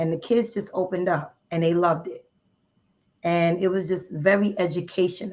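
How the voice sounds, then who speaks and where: In a New Jersey accent, the speaker talks at a moderate pace with monotone, flat intonation. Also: woman, fairly low pitch for a woman. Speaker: member of a women's charity group. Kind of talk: podcast interview.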